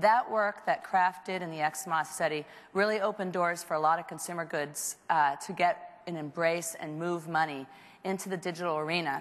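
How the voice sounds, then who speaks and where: At a moderate pace, a woman talks at a fairly low pitch with fairly even intonation. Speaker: marketing executive. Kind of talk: award presentation speech. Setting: stage with audience. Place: stage. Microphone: lapel.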